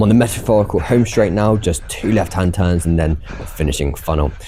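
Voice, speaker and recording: With noticeable background noise behind him, a man with a British accent speaks fairly quickly in a fairly low pitch and ordinary pitch variation. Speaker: amateur runner vlogger. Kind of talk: scripted narration.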